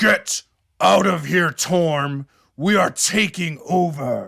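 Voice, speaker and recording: A put-on character voice, raspy and at a middle pitch. The delivery is very slow. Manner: menacing.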